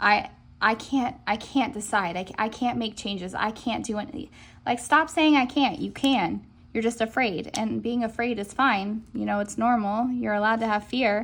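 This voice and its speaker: A woman talks at a moderate pace in a fairly high pitch, somewhat breathy, with ordinary pitch variation. The recording is very clean with a silent background. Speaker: tarot reader. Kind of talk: pick-a-card tarot reading. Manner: animated.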